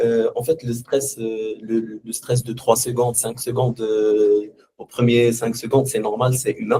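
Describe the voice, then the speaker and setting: This man's voice is somewhat breathy with a dark, mellow tone. He speaks in a monotone, flat intonation at a very slow pace. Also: medium pitch for a man. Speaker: former student. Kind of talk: testimony. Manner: halting.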